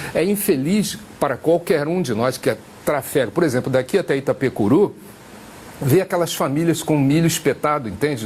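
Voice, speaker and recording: Over noticeable background noise, a man with a fairly high pitch speaks at a moderate pace with very even loudness. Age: 60s. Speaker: senate candidate. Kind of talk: tv interview.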